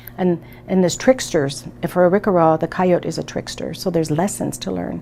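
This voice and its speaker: A woman talks at a fairly quick pace. Background noise is noticeable behind her. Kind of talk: interview. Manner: hesitant, many fillers.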